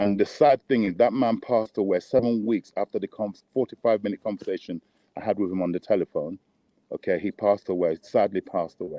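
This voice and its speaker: A man with a fairly low pitch and ordinary pitch variation speaks at a very fast pace. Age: 60s. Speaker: boxing trainer. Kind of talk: interview.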